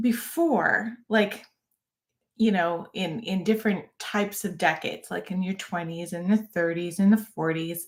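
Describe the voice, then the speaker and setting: With ordinary pitch variation and a somewhat breathy voice, a woman talks at a fairly slow pace. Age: 50s. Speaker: fitness YouTuber, former fitness coach. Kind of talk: live-stream casual talk. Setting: live stream. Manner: conversational, with fillers and restarts.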